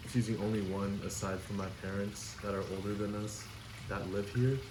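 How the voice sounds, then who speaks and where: A man with a fairly low voice talks in a space with audible room echo. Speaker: podcast co-host. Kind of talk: casual chat.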